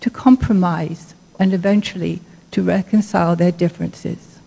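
A woman speaks at a moderate pace in a dark, mellow tone. Her voice is somewhat breathy, with ordinary pitch variation. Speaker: lay intercessor. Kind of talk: intercessory prayer. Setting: church. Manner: formal. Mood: solemn, reverent. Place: church.

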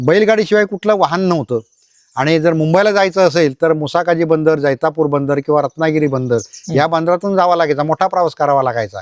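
A man with a plain, everyday voice, fairly high in pitch, with ordinary pitch variation, very even loudness and a dry, close sound with no echo. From Konkan, Ratnagiri district (Lanja). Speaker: writer and community leader. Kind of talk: on-site interview explaining temple history. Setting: outdoors at village temple.

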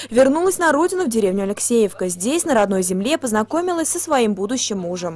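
Very fast and with hardly any pauses, a woman speaks at a fairly high pitch with very wide pitch swings. Noticeable background noise is present. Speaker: TV news reporter. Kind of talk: local TV news narration.

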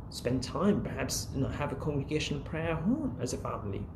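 A man speaks over noticeable background noise. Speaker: imam. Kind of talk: sermon. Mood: earnest, calm. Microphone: phone near.

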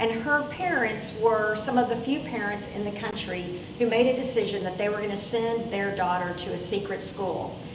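A woman using ordinary pitch variation talks at a moderate pace while noticeable background noise continues. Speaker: pastor. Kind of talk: sermon. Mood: earnest, grave. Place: church. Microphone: lapel.

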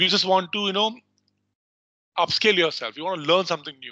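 A man with an Indian accent has a bright, sharp tone, recorded dry with no echo against a quiet background. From North India. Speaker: legal research software trainer; trainer. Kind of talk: online training tutorial. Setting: video call. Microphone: video call.

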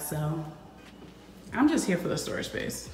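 Light background noise and audible room echo surround a woman speaking at a moderate pace. Her pitch swings very widely. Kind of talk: casual vlog chat. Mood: happy, excited. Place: empty room. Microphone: phone near.

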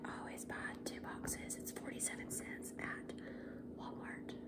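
Loud background noise surrounds a woman talking at a fairly slow pace. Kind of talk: casual recipe tutorial. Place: kitchen. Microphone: phone near.

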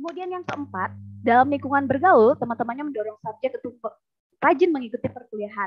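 A woman talks at a very fast pace in a high pitch, with lively intonation. Her loudness swings widely against a quiet background. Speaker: lecturer. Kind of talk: conference presentation. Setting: video call. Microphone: video call.

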